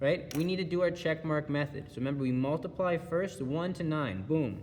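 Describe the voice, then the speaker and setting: Pitched fairly high, a man speaks in a normal speaking voice at a moderate pace with ordinary pitch variation. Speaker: schoolteacher. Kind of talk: video lesson.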